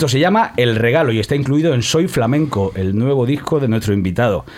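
A man at a medium pitch with lively intonation and a fairly quick pace, against noticeable background noise. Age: 30s. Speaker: podcast host. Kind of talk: comedy interview show.

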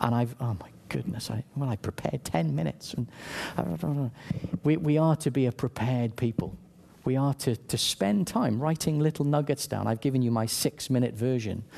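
Speaking with a Welsh accent, a man uses lively intonation at medium pitch and a moderate pace. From South Wales. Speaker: church leader, preacher. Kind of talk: sermon. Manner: halting, many repetitions.

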